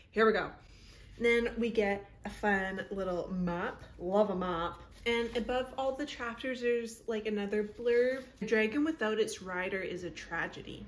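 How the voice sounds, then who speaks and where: Noticeable background noise and audible room echo surround the recording. A woman speaks fairly slowly at a fairly high pitch with ordinary pitch variation. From Canada. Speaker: BookTube creator. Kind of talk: book recap. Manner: animated.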